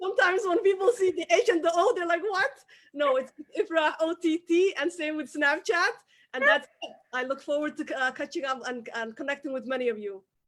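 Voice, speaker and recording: A woman with a Somali accent talks at an extremely high pitch in an animated tone, her pitch swinging very widely at a fairly quick pace. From Somalia. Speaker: entrepreneur. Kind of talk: interview. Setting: live web stream.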